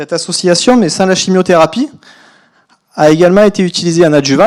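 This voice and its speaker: A man with a high voice and a slight southern French accent talks at a fairly quick pace. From southern France. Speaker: biostatistician. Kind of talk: conference talk. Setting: lecture hall.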